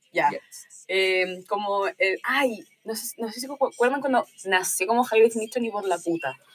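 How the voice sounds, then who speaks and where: A woman speaks fairly slowly with hardly any pauses, her fairly high pitch carrying lively intonation and big swings in loudness. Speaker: university student with own podcast. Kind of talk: casual chat.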